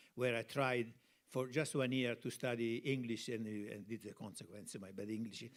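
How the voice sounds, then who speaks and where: Speaking with an Italian accent, a man at a medium pitch keeps a moderate pace and fairly even intonation. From Italy, Tuscany (Piombino). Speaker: cinematographer. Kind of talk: interview on stage. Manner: halting.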